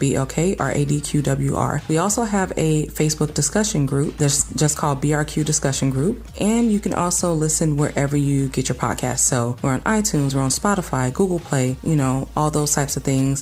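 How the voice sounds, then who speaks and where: With an American accent, a woman talks at a fairly quick pace with hardly any pauses and very even loudness amid noticeable background noise. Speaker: podcast host. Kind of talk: scripted outro.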